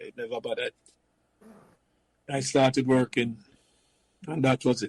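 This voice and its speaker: Somewhat breathy and at a medium pitch, a man speaks at a moderate pace with fairly even intonation, big swings in loudness, and long, frequent pauses. The sound is dry and close, with no echo. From Jamaica, Kingston. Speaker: former professional footballer. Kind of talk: casual chat.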